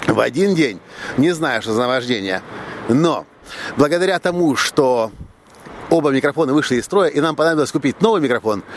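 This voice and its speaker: A man speaks fairly quickly with lively intonation and a fairly high pitch, stopping often for long pauses. Background noise is noticeable. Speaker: podcaster and video blogger. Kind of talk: solo vlog monologue.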